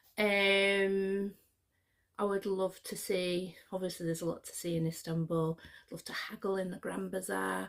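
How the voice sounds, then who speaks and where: A woman's medium-pitched voice in a Scottish accent, monotone and flat, at a moderate pace, with big swings in loudness. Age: 50s. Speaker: YouTuber. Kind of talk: casual vlog chat. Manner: chatty, hesitant with fillers.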